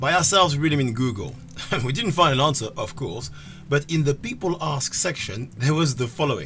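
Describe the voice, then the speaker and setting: Someone with a non-native accent speaks at a fairly quick pace with lively intonation. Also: man, fairly high pitch for a man. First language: not English. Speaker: gaming video host. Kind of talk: scripted comedic narration.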